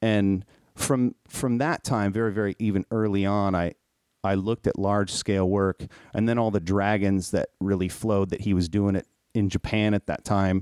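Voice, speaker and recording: In a normal speaking voice, a man with an American accent talks at a moderate pace and fairly low pitch, with fairly even intonation and very even loudness. The recording is very clean, with a silent background and dry, close sound with no echo. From Minnesota. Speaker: podcast host and tattoo artist. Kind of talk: casual chat.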